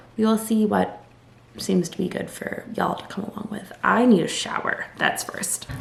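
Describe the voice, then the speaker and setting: A woman with a fairly high pitch speaks at a fairly slow pace, with noticeable background noise and audible room echo. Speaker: law student vlogger. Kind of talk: casual vlog to camera. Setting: at law school. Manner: whispering at times.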